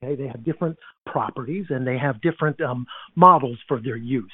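A man talks at a fairly quick pace and a fairly high pitch, with lively intonation. He has an unremarkable speaking voice. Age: 60s. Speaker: information security veteran, tech company co-founder. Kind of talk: casual interview.

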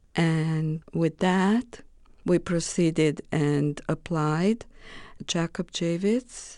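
A woman with a Romanian accent speaks very slowly in a fairly low voice with a dark, mellow tone. Her pitch varies in an ordinary way against a quiet background. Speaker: political refugee, former English teacher. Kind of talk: interview testimony.

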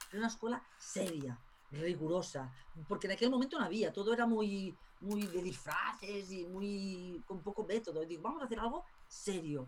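Against noticeable background noise, a woman with a medium pitch talks at a fairly quick pace. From Spain. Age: 50s. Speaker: tarot school director. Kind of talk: interview.

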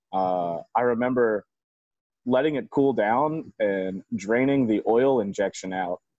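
With an American accent, a man talks at a medium pitch and a fairly slow pace, using ordinary pitch variation. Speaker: moped shop owner and club member. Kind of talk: casual interview chat.

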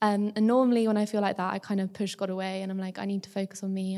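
On a very clean recording with a silent background, a woman with a dark, mellow tone speaks at a medium pitch in a monotone, flat intonation. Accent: English. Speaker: university student. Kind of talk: testimony.

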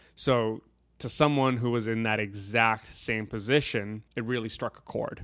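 A normal speaking voice from a man of medium pitch, moderate pace and fairly even intonation, in a very clean recording with a silent background. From Canada. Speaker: guest. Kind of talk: casual chat over drinks.

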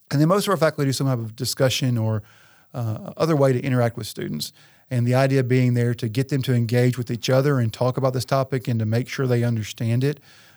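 Very fast speech in a Tennessee accent, with ordinary pitch variation. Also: man, medium pitch for a man, very clean recording, silent background. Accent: Southern US (Tennessee). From West Tennessee. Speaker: university administrator and historian. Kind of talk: interview.

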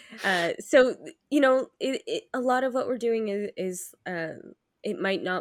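A woman speaks at a fairly slow pace with lively intonation. She has a normal speaking voice. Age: 30s. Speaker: podcast host. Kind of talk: casual chat.

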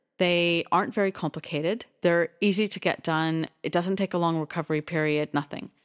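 A woman with a Canadian accent speaks in a normal speaking voice, fairly low in pitch, fairly quick and with hardly any pauses. Her intonation is fairly even, and the very clean recording has a silent background and a dry, close sound with no echo. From Canada, Toronto. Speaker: podcast co-host, foundation executive director. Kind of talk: casual chat. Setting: studio.

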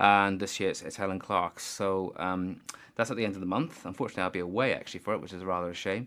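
A man talks at a very fast pace, his pitch very deep and low and his tone bright and sharp. The recording is very clean, with a silent background. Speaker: trade union staffer organising a charity book sale. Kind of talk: casual radio interview. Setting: radio studio. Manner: hesitant, many fillers and repeats.

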